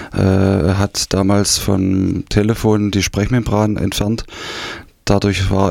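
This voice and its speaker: A man is speaking. His pitch sits fairly low. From East Germany, Saxony (Dresden region). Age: 50s. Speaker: former GDR refugee. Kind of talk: interview testimony. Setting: radio studio. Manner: hesitant, many fillers.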